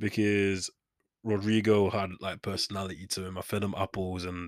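A Manchester accent in a dry, close sound with no echo, over a very clean recording with a silent background. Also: man. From Manchester, England. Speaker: podcast host. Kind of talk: casual solo monologue. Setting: home studio. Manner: rambling, self-deprecating.

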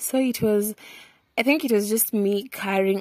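A woman's medium-pitched voice at a very slow pace, with a Kenyan accent and a dry, close sound with no echo. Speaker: podcaster. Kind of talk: casual monologue. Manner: switches between English and Swahili.

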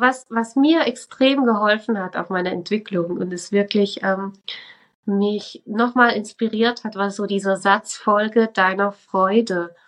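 At a very slow pace, a woman speaks with medium pitch and fairly even intonation. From Switzerland. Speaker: religious educator and spiritual coach. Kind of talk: casual interview.

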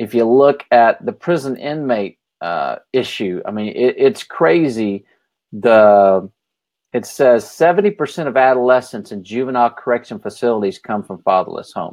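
Against a quiet background, a man with an American accent talks at a moderate pace and a medium pitch. He has a plain, everyday voice with lively intonation. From Texas, Dallas-Fort Worth area. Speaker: author and documentary maker. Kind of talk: podcast interview.

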